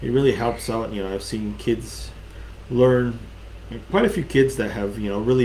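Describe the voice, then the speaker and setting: A man's speech moves fairly quickly. The room echo is audible, and background noise is noticeable. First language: Crow. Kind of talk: online craft class talk. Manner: many fillers and hesitations.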